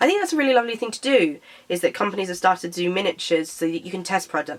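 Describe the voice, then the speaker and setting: A woman with a British accent speaks at a very fast pace amid noticeable background noise. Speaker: beauty vlogger. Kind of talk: casual product review vlog. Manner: hesitant, with fillers.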